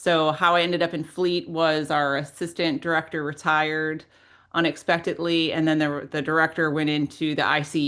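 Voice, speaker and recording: A woman with an American accent, her very deep, low pitch held in a flat monotone at a moderate pace over a quiet background. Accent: Midwestern, comes out sometimes. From Minnesota, US Midwest. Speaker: local government leader, webinar speaker. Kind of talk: webinar interview.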